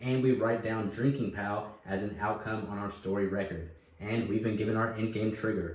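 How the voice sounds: Someone reads in a natural voice. That is the whole clip.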